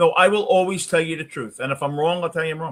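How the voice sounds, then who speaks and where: A man with a high pitch at a fairly quick pace. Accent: Brooklyn. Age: 60s. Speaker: sports talk streamer. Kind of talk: live postgame stream talk, reading chat. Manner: casual, conversational.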